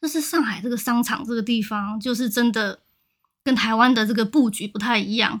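A fairly high-pitched woman speaks somewhat breathily at a fairly quick pace, with ordinary pitch variation. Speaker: podcast co-host. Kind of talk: casual chat.

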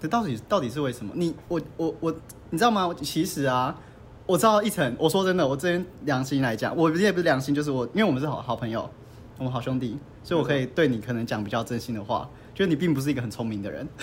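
Talking at a very fast pace, a man sounds animated and somewhat breathy. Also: fairly high pitch for a man. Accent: Taiwanese. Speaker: podcast host. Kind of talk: casual chat. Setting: mahjong room venue. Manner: animated, frequent laughter.

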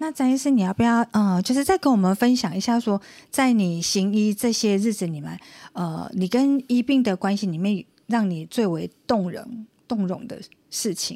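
The woman's voice has a dark, mellow tone, fairly high in pitch with ordinary pitch variation. She speaks at a moderate pace on a very clean recording with a silent background. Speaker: radio co-host and university lecturer. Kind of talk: radio talk show interview.

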